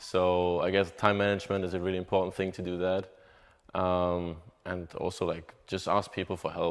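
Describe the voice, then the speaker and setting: A man with a German accent talks at a very deep, low pitch with hardly any pauses. His intonation is monotone and flat, over a quiet background. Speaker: college soccer player. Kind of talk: interview. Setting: on camera interview.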